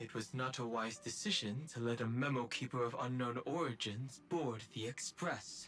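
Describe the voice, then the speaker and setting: A man's put-on character voice at medium pitch, serious in tone, at a moderate pace with hardly any pauses, over clear background noise. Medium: video game. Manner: composed, serious.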